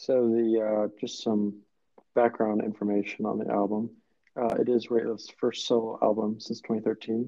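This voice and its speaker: A man speaks at a moderate pace and medium pitch in a monotone, flat delivery, with big swings in loudness. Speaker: college podcast host. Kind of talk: casual chat. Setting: remote recording, guest not in same room.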